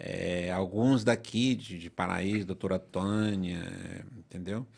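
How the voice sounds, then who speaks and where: A man talks at a very slow pace. The background is silent on a very clean recording. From northern Brazil, southern Pará. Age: 50s. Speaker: lawyer. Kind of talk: podcast interview.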